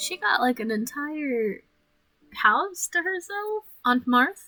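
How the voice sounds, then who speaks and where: A woman speaks very slowly in a high voice with very wide pitch swings. Music plays in the background. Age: 20s. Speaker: gaming YouTuber. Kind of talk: reading game text aloud with commentary. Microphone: voice quieter than game audio.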